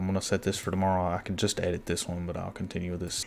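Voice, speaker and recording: Quiet and very deep, a man's low-pitched voice comes through over light background noise. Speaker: box truck owner-operator. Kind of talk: screen-share tutorial. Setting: at home at night. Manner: quiet, hushed; hesitant, repetitive.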